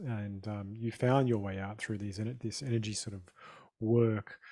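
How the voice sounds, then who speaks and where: Speaking at a fairly slow pace, a man with an Australian accent has a dark, mellow tone. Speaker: podcast host. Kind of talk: podcast interview.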